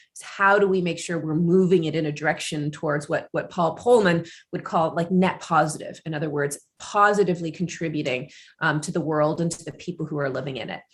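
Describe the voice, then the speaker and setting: Somewhat breathy, a woman speaks at a fairly low pitch and a fairly quick pace, with big swings in loudness. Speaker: business school lecturer. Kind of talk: webinar panel talk. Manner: fast when excited.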